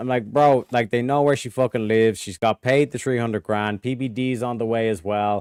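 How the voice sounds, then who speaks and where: A man with an Irish accent speaks at a fairly quick pace with hardly any pauses and fairly even intonation, in a dry, close sound with no echo. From Ireland. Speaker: streamer. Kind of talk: casual chat.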